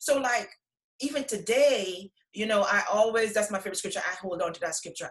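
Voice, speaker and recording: A woman's somewhat breathy voice at a medium pitch. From Guyana. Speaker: co-author of a faith anthology. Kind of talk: casual interview, faith testimony. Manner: hesitant, many fillers.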